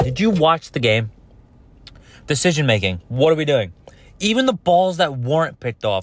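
The background is quiet. A man with a fairly high voice talks in an animated tone at a moderate pace. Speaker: sports podcast host. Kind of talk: casual solo commentary. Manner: loud, yelling.

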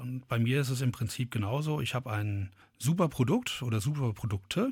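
Somewhat breathy, a man speaks at a moderate pace in a very clean recording with a silent background. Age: 40s. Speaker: brewery founder and gardener. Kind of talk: interview.

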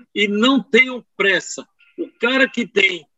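This man speaks in a high pitch. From Pernambuco, Brazil. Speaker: knee surgeon. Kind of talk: interview testimony. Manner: animated.

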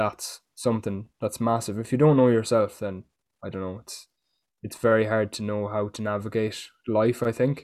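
A man with a fairly low pitch at a moderate pace, monotone, flat intonation and big swings in loudness, in a very clean recording with a silent background. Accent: Irish. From Ireland. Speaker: fitness coach. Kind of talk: casual chat.

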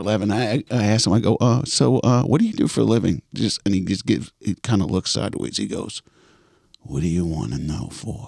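Lively in intonation and fairly quick in pace, a man speaks at a fairly low pitch with vocal fry, in a dry, close sound with no echo. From New York, Queens. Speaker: actor and playwright. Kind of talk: casual chat.

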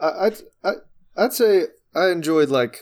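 The speaker is a man with a fairly slow delivery. Lively intonation runs through his words. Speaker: podcast co-host. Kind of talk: casual chat, album discussion.

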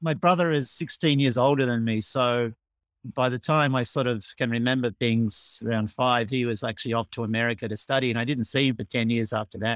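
Fairly quick and medium-pitched, a man with an Australian accent speaks in a dry, close sound with no echo, on a very clean recording with a silent background. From Australia, Melbourne. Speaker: amateur cricketer and umpire. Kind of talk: casual interview.

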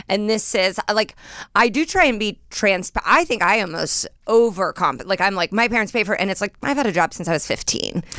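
Speaking fairly quickly with an American accent, a woman uses lively intonation at a medium pitch with a bright, sharp tone. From Indiana, US Midwest. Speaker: comedian. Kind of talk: casual chat.

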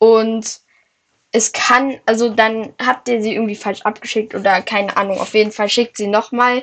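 Against a quiet background, a woman speaks with a fairly high pitch and fairly even intonation. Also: moderate pace. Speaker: Minecraft gaming podcast co-host. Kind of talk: casual gameplay chat.

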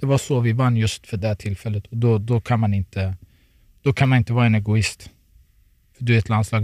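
With a dark, mellow tone and medium pitch, a man speaks at a very fast pace in a somewhat breathy voice with fairly even intonation, the sound dry and close with no echo. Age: 30s. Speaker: professional footballer. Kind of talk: casual chat. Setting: studio.

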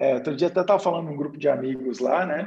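Somewhat breathy and dark, mellow in tone, a man's voice is heard. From Brazil, interior of Minas Gerais. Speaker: investor and day trader. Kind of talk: casual chat.

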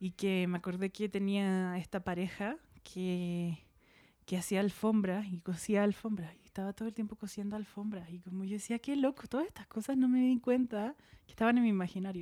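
A woman talks at a moderate pace. Her pitch is medium and varies in an ordinary way. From Chile, Santiago. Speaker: textile artist. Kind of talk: casual interview.

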